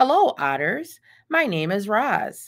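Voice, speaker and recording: Put-on robotic character voice, female-sounding and high-pitched, at a fairly slow pace. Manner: polite greeting.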